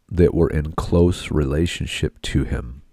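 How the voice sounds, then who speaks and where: The speaker's voice shows vocal fry at a very slow pace, in a dry, close sound with no echo. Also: man. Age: 40s. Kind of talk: podcast monologue.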